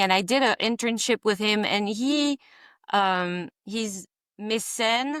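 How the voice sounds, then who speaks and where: In a French accent, a woman speaks at a medium pitch with ordinary pitch variation and a bright, sharp tone. The recording is very clean, with a silent background. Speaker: visionary artist. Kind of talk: interview. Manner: halting.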